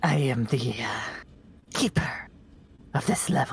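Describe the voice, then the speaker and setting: A fairly slow whisper in a put-on character voice. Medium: actual play. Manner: curious.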